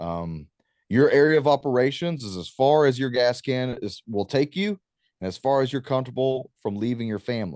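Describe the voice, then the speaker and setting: A man speaks with a plain, everyday voice in a medium pitch at a moderate pace. His intonation is lively, and the sound is dry and close with no echo. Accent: American. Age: 30s. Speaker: war veteran and talk show host. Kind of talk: guest talk on preparedness. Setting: video call.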